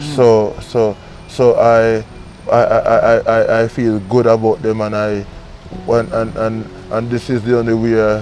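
Against faint music in the background, a man talks at a very slow pace with fairly even intonation in a dry sound with no echo. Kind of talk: interview answer. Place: garden. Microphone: lapel.

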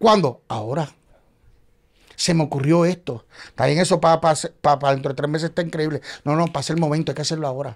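In a quiet setting, a man talks very fast at a fairly high pitch with ordinary pitch variation, broken by long, frequent pauses. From Puerto Rico. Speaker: playwright and actor; actor. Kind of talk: casual chat. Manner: animated. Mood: humorous anecdote telling. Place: studio. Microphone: studio mic.

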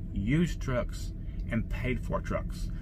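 At a fairly slow pace, a man speaks with lively intonation at a medium pitch.

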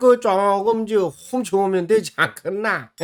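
A man with a Gyeongsang accent speaks at a very slow pace. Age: 80s+. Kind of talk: casual gameplay commentary.

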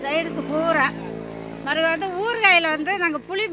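A woman's raised, projected voice over noticeable background noise. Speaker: food stall owner. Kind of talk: interview, casual.

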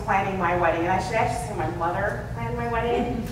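Noticeable background noise sits under this recording, and the room echo is audible. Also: woman. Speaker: conference speaker. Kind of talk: talk to an audience. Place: hall.

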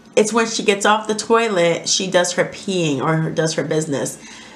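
A woman speaks at a fairly low pitch and a moderate pace. The room echo is audible.

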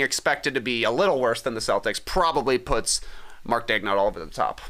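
A man's bright, sharp tone stands out against a quiet background. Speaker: sports podcast co-host. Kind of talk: casual chat. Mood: relaxed, conversational. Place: studio. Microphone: studio mic.

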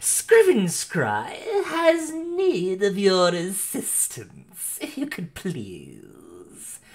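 A put-on character voice at a very slow pace with hardly any pauses. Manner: fussy, impatient, falsely polite.

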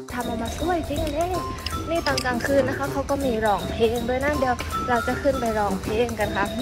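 Loud music plays in the background while a woman speaks in a dry sound with no echo. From Surat Thani, Southern Thailand. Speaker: taekwondo athlete. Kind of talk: casual tour guide talk to camera. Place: street. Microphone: earbuds.

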